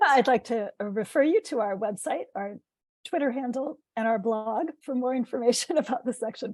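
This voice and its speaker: In a very clean recording with a silent background, a woman uses a put-on character voice that is hoarse and high in pitch, at a moderate pace. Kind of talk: formal, presenting.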